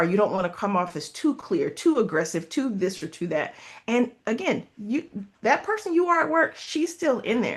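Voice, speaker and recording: Very wide pitch swings at a moderate pace. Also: woman, quiet background. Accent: American. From US South. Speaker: leadership coach and consultant. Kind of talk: interview.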